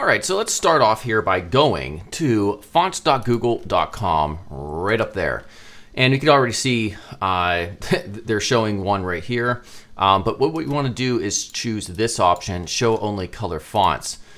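A man's ordinary speaking voice, fairly low, with lively intonation. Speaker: web design instructor. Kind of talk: tutorial.

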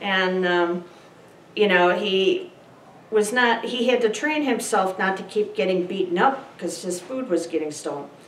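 A woman's animated, amused tone at a moderate pace, with ordinary pitch variation, light background noise and audible room echo. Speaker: pastor, preacher. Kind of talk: sermon anecdote, casual conversational storytelling. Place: meeting room. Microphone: camera far.

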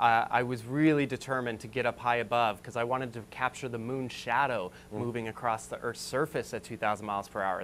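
With an American accent, a man rattles along at a very fast pace with hardly any pauses, light background noise behind him. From Las Vegas, Nevada. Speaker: photographer and amateur astronomer. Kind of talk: TV interview. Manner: animated. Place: studio.

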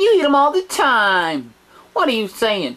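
Delivered at a moderate tempo, the speech rises and falls through very wide pitch swings. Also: woman. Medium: comedy sketch. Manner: excitable, scolding.

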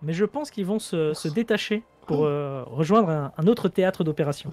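Against noticeable background noise, a man's voice swings very widely in pitch, with a dry, close sound and no echo. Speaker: gaming YouTuber. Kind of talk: casual chat. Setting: video call.

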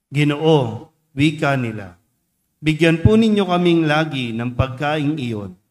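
This man speaks at a very slow pace, his pitch fairly high. His intonation is lively. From Philippines. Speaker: priest. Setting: church. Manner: conversational and teacherly, asking rhetorical questions; earnest, warm, unhurried pastoral tone. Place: church. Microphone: podium.

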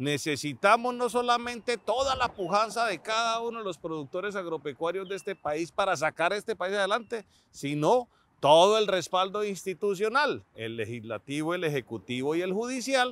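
A man talks with a high pitch and very wide pitch swings. The recording is very clean with a silent background and a dry, close sound with no echo. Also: moderate pace. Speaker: TV agriculture show host. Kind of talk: TV presenting, opinion commentary. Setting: outdoors on a cattle farm.

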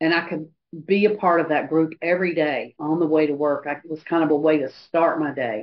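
A woman's very deep, low voice at a fairly quick pace, with fairly even intonation over light background noise. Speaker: AA speaker sharing recovery story. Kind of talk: testimony. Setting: video call meeting. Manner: halting, frequent pauses and fillers. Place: hall.

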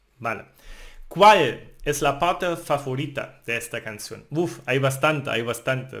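In a German accent, a man speaks at a fairly high pitch and a fairly slow pace. The background is quiet. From Germany, Thuringia. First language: German (speaking Spanish). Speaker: language teacher. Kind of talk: tutorial. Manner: halting.

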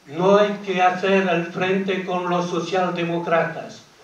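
Very slow, monotone speech from a man with a high pitch, flat intonation and audible room echo. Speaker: speaker. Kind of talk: public talk. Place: hall.

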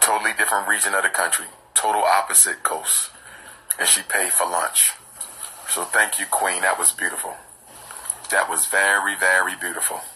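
Light background noise sits behind a man who speaks at a moderate pace with long, frequent pauses. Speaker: speaker. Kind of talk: casual vlog chat. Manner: drowsy, slow, low bedtime voice. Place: home room. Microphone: phone near.

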